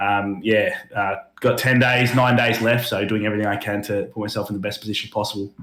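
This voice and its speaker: Here a man talks at a fairly quick pace with an Australian accent. His voice sits fairly low, and his intonation stays flat and monotone. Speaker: esports gamer. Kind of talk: casual interview.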